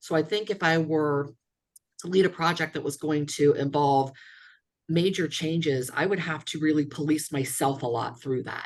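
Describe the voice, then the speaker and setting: Intonation stays fairly even while the pace remains moderate. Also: woman, very deep, low pitch for a woman. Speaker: workshop participant. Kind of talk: group workshop discussion. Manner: loud.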